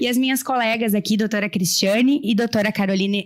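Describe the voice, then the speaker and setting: Animated in tone, a woman with a Porto Alegre accent speaks at a moderate pace in a fairly high voice with lively intonation. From Rio Grande do Sul, Brazil (small town in the north of the state). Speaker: lawyer. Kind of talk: panel talk. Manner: animated storytelling.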